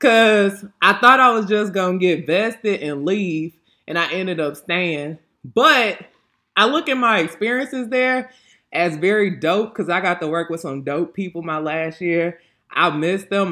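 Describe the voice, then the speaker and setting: In a very clean recording with a silent background, a woman with an American accent speaks at a fairly slow pace and medium pitch, animated and lively in intonation, with a bright, sharp tone. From Texas (Lake Jackson). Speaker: podcast host, licensed counselor. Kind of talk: casual chat.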